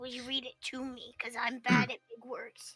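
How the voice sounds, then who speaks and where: A raspy, female-sounding put-on character voice, high-pitched, at a moderate pace, with faint music in the background. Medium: actual play. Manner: simple, friendly.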